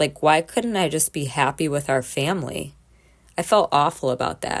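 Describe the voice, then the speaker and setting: This woman's pitch is very deep and low, with ordinary pitch variation. Her recording is very clean against a silent background. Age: 30s. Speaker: podcast host. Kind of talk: personal monologue.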